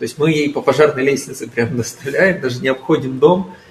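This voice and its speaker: A man talks at a fairly quick pace with a fairly high pitch and ordinary pitch variation, noticeable background noise behind him. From Ukraine. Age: 20s. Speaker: entrepreneur. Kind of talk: radio interview.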